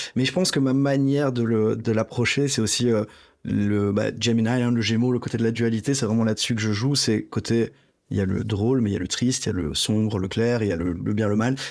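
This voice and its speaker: In a very clean recording with a silent background, a man speaks at a fairly quick pace and medium pitch, with ordinary pitch variation and very even loudness. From Belgium. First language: Greek (speaking French). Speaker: rapper. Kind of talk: interview.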